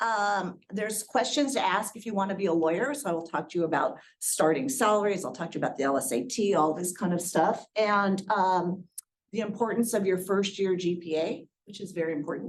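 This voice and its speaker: Speaking at a fairly quick pace, a woman uses lively intonation at medium pitch. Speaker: attorney and educator. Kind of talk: guest lecture. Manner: fast; energetic.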